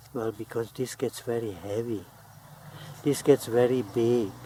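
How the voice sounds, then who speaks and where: Very slow, medium-pitched speech from a man against noticeable background noise. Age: 70s. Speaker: gardening hobbyist. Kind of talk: tutorial.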